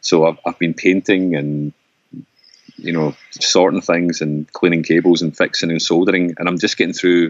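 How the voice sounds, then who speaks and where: This man has a very deep, low voice with a Scottish accent. His pace is moderate and his intonation fairly even. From Scotland. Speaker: folk musician and composer. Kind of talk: casual chat. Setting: remote call.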